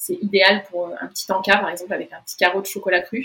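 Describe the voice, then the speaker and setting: Speaking very fast, the female voice sits at a medium pitch. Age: 20s. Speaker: naturopathy student. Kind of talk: interview.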